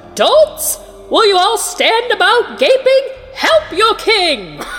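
Using a put-on character voice, a woman speaks at an extremely high pitch and a very slow pace over clear background noise. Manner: screeching, commanding.

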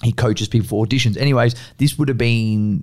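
The man talks at a very fast pace with an Australian accent. His pitch sits in the medium range. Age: 20s. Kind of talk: casual chat.

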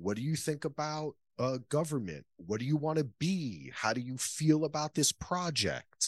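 In a plain, everyday voice, a man with an American accent talks at a moderate pace and fairly high pitch, with ordinary pitch variation, hardly any pauses and a dry, close sound with no echo. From New Jersey, US. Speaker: podcaster and filmmaker. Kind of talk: casual chat.

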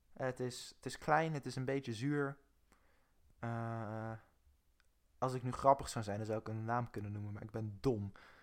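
On a very clean recording with a silent background, a man speaks at a moderate pace and medium pitch, with fairly even intonation and long, frequent pauses. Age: 20s. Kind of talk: casual chat.

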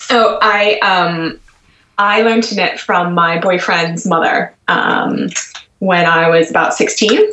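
The speaker uses fairly even intonation and a very slow pace with an American accent. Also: woman, medium pitch for a woman. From US, Washington D.C. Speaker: magazine co-editor and knitwear designer. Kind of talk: casual interview.

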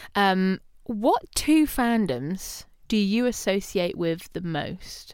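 A woman speaks at a medium pitch and a very slow pace, her pitch swinging very widely. The recording is very clean, with a silent background. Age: 20s. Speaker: podcast host, university lecturer, singer. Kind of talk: casual chat. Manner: loud.

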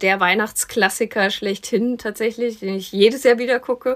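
At a moderate pace, a woman with a fairly high pitch talks in a monotone, flat intonation. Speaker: film podcast host. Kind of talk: casual chat.

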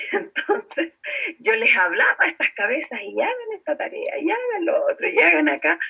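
A woman talks with a Chilean accent. Background noise is noticeable. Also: moderate pace. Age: 50s. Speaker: network marketing entrepreneur and teacher. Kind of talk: interview.

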